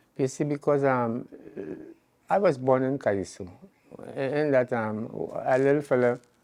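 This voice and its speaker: With a Trinidadian accent, a man speaks at a medium pitch and a moderate pace, using ordinary pitch variation and taking long, frequent pauses. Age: 80s+. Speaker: calypsonian. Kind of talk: interview. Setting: at home.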